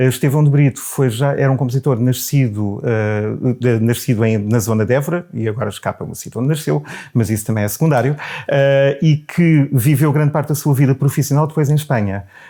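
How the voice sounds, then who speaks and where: With a European Portuguese accent, a man speaks at a fairly quick pace. His voice sits at a medium pitch with ordinary pitch variation. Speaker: baritone singer and choir director. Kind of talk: interview answer.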